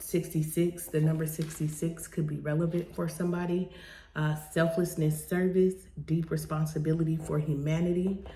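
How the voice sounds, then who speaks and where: In a quiet, somewhat breathy voice with a dark, mellow tone, a woman speaks at a moderate pace with monotone, flat intonation. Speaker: tarot card reader. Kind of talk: tarot reading monologue. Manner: quiet, keeping voice down; hesitant, many fillers.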